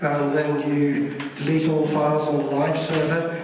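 A man's voice carries strong room echo along with light background noise. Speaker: speaker. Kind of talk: presentation talk. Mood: jokey, relaxed. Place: hall.

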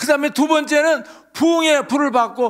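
A quiet background frames a man who talks at a fairly slow pace. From South Korea. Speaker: pastor. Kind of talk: sermon. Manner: animated. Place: hall. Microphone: handheld.

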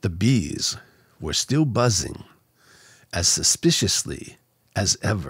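Against a quiet background, a man with a fairly low pitch and vocal fry speaks at a very slow pace, with very wide pitch swings, long, frequent pauses and a dry sound with no echo. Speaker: narrator reading a children's book. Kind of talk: bedtime story. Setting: studio microphone. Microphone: studio mic.

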